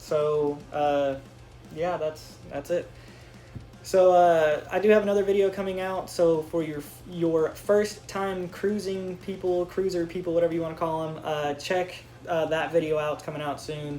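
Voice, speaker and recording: Music plays in the background as a man speaks. His pitch is high and his intonation fairly even. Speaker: YouTuber. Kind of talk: casual vlog storytelling. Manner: fast.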